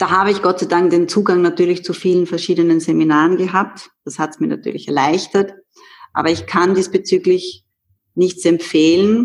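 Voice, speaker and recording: This woman has an unremarkable speaking voice, pitched fairly low. She keeps a moderate pace and fairly even intonation. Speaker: movement coach. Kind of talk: interview.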